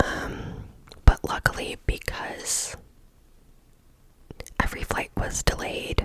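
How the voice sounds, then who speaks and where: A woman's whisper comes at a very slow pace, with noticeable background noise behind it. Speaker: ASMR creator. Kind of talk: casual personal story. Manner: whispered.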